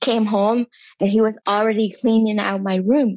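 The sound is dry and close, with no echo. A woman talks at a medium pitch, her intonation fairly even. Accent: Vietnamese. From southern Vietnam. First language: Vietnamese. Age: 30s. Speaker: skincare content creator. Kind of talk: interview.

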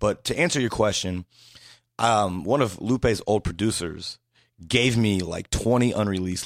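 A normal speaking voice from a man, fairly low in pitch, with lively intonation at a moderate pace, in a very clean recording with a silent background. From Indiana, US Midwest. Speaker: hip-hop website founder. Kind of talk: casual interview chat. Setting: studio.

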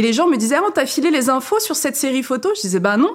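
Her voice is high-pitched and animated, and this woman's pitch swings very widely. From France, Saint-Étienne. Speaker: journalist and spiritual podcaster. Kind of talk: casual interview. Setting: studio, seated back to back with host.

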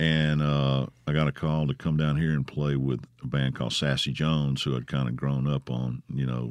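A man with a Mississippi accent, very deep and low in pitch, moderate in pace, flat and monotone, very even in loudness, with hardly any pauses amid noticeable background noise. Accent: US Southern (Mississippi). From Mississippi (Grenada). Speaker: musician. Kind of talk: casual chat. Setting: studio. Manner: halting.

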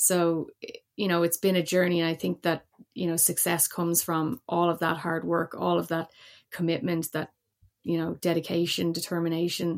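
A woman with a Dublin accent, her pitch fairly low, at a moderate pace with flat, monotone intonation. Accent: Irish (Dublin). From Ireland, Dublin. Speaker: former Olympic hockey player and motorsport engineer. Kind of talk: podcast interview.

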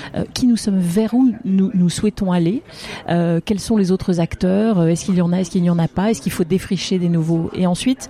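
A woman's medium-pitched voice with ordinary pitch variation, set against noticeable background noise. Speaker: business executive. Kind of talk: interview. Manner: halting.

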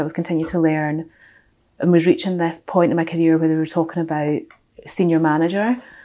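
A woman with a Glaswegian accent speaks at a fairly low pitch, her tone dark and mellow. The recording is very clean, with a silent background. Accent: Glaswegian Scottish. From west coast of Scotland, Glasgow. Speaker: audit and finance professional. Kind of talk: casual interview. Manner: opinionated, strong-minded.

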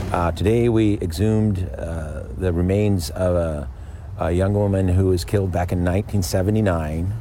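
Pitch variation is ordinary and the pace is moderate. Noticeable background noise sits behind the voice. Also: man, very deep, low pitch for a man. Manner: hesitant with many fillers.

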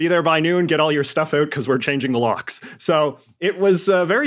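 A man speaks fairly quickly in a Western Canadian accent, with ordinary pitch variation. The background is quiet. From Western Canada. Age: 30s. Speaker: columnist and YouTuber. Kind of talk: interview.

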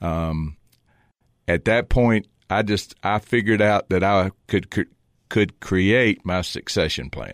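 At a very slow pace, a man with a Southern US accent speaks in a fairly low pitch with ordinary pitch variation, in a dry, close sound with no echo. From Virginia. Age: 60s. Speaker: business owner and former college football player. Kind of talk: casual interview. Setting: studio.

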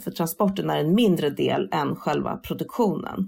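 A woman is speaking. Her voice has vocal fry. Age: 40s. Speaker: sustainability influencer. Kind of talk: interview.

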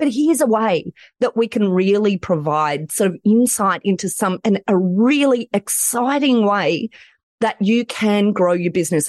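With a strong Australian accent, a woman talks at a moderate pace in an animated tone, her intonation lively and her loudness very even, in a dry, close sound with no echo. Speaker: lawyer and author. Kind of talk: interview. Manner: animated, high energy.

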